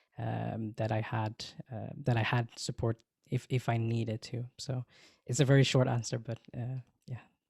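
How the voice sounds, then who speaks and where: In a dry, close recording with no echo, very clean and with a silent background, a man speaks at a moderate pace in a somewhat breathy, medium-pitched voice with monotone, flat intonation. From Sweden. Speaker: social media manager and podcast co-host. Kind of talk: panel Q&A. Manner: halting.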